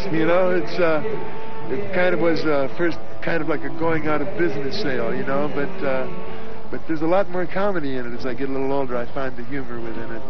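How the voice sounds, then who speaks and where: With clear music in the background, a man talks at a very fast pace, his voice dry with no echo. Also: ordinary pitch variation. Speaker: interviewee. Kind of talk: interview answer. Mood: cheerful, laughing. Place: open country. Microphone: handheld.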